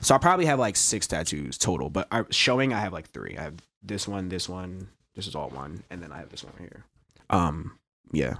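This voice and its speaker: Fairly quick and lively in intonation, a man speaks with a very deep, low pitch and vocal fry. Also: big swings in loudness. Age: 20s. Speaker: poet and teacher. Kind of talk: casual chat.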